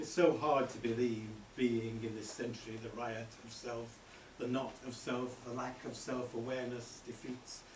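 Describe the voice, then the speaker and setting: Over noticeable background noise, a voice moves at a moderate pace in a monotone, flat intonation, with big swings in loudness. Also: man, medium pitch for a man. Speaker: poet. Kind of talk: spoken word poetry performance. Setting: live venue.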